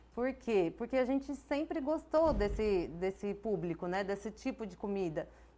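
A woman is talking. Her voice swings very widely in pitch. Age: 30s. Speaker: business owner; guest. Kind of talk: interview. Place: studio. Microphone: lapel.

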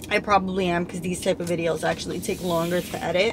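A woman speaks, and background noise is noticeable throughout. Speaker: vlogger. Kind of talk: casual vlog chat. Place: car. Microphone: phone near.

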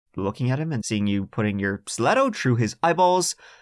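A man uses a dramatic, animated tone with very wide pitch swings on a very clean recording with a silent background. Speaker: podcast host. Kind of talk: true-crime narration, storytelling with chatty asides. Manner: animated, conversational, wry; dramatic emphasis on gruesome details.

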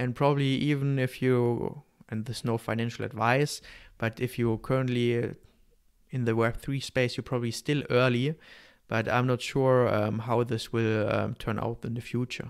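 Against a quiet background, a man with a German accent speaks in a monotone, flat way. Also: medium pitch for a man, moderate pace. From Germany. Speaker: podcast host or guest. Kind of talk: casual interview. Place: home room. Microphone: studio mic.

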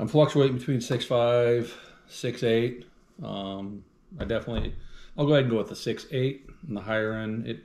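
A man speaks with ordinary pitch variation. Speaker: bourbon tasting host. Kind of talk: casual tasting chat. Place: kitchen. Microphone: camera far.

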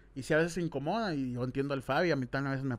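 Very fast speech from a man, pitched fairly high. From Mexico, Hermosillo (Sonora); Sonora, Mexico. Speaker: YouTuber, podcast host. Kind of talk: casual chat. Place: studio. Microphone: studio mic.

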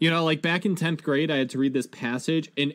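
A man's voice, fairly high in pitch. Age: 20s. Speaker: gaming and pop culture podcast co-host; pop culture podcast co-host. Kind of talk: casual chat. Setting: remote video call. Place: home room. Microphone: headset.

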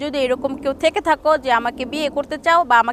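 A woman's high voice with fairly even intonation against noticeable background noise. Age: 20s. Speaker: interviewee seeking marriage. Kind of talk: interview.

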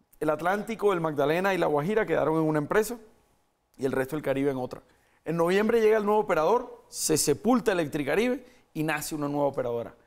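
A man talks at a very fast pace. The background is quiet. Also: fairly high pitch for a man, lively intonation. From Colombia. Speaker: mayoral candidate, politician; candidate, politician. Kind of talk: political interview. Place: studio. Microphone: lapel.

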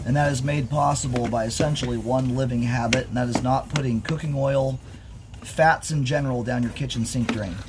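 Noticeable background noise runs behind a man at a medium pitch. He talks at a fairly quick pace with fairly even intonation. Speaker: sewer inspection technician. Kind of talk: narrated inspection video. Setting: on site at a house, outdoors.

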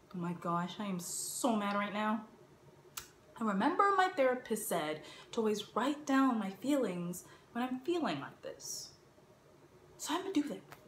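A woman talks at a moderate pace with long, frequent pauses. Audible room echo and light background noise are present. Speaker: actor doing an audition monologue. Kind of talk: acted comedic monologue. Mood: exasperated, dramatic. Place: home room. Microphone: phone near.

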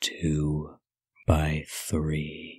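Soft-spoken and very deep, a man's low-pitched voice moves at a very slow pace, with a dry sound with no echo and a quiet background. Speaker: ASMR narrator. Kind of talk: ASMR poetry reading, spooky Halloween poems. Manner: soft, slow, hushed. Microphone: studio mic.

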